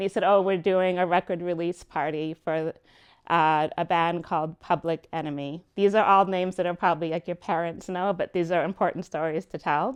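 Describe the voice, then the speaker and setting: A woman with an American accent and an ordinary speaking voice talks fairly quickly at a fairly low pitch, with fairly even intonation. The recording is dry and close with no echo, over a quiet background. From New York. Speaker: music business consultant. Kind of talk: lecture.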